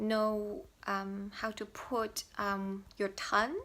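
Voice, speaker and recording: A woman with a bright, sharp tone speaks at a very slow pace in a very clean recording with a silent background. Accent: Mandarin. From Taiwan. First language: Mandarin. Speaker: language learner vlogger. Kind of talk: tutorial. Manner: halting, many fillers.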